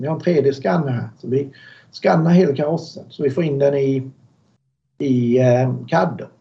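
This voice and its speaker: A man's fairly high, somewhat breathy voice at a moderate pace with lively intonation. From Sweden, Småland (Alvesta). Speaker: car builder, motorsport company owner. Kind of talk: interview.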